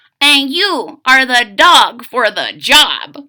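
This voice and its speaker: A woman puts on a character voice, talking very slowly at a high pitch. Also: very wide pitch swings. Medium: read story. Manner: Spanish-sprinkled English.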